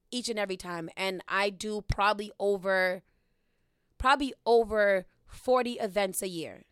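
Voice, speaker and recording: A woman's normal speaking voice at medium pitch, ordinary pitch variation and big swings in loudness, in a very clean recording with a silent background and a dry, close sound with no echo. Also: moderate pace. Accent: American. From Boston, Dorchester (Upham's Corner). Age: 30s. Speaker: podcast host and radio worker. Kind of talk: casual chat. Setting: studio.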